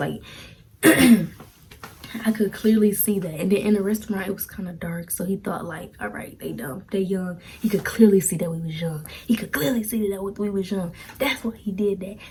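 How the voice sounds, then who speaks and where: A woman's medium-pitched voice, with ordinary pitch variation and a moderate pace, competes with noticeable background noise. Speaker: storytime vlogger. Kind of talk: storytelling monologue.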